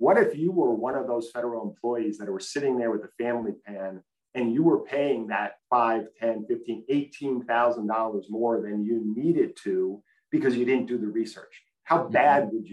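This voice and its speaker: A man with an American accent talks at a moderate pace in medium pitch, with ordinary pitch variation and big swings in loudness. It is an unremarkable speaking voice. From US East Coast. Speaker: health insurance executive. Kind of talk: interview.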